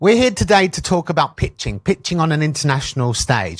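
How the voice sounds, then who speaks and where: A man with a London accent at a fairly quick pace, lively in intonation, on a very clean recording with a silent background and a dry, close sound with no echo. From London, England. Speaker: animation pitching coach. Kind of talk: workshop talk. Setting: stage with audience. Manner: hesitant, many fillers.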